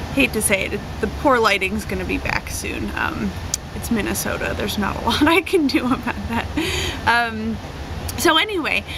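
Moderate pacing from a woman over noticeable background noise. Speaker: craft kit seller. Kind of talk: casual vlog chat. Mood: cheerful, chatty. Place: garden. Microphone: camera far.

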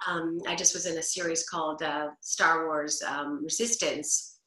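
A woman speaks at a fairly slow pace with a fairly low pitch. The background is quiet, but room echo is audible. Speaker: voice actor. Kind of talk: interview answer. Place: home room. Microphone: video call.

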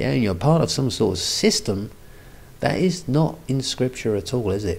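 A man with a medium pitch and a slightly mellow tone speaks at a moderate pace with lively intonation and some vocal fry. Room echo is audible.

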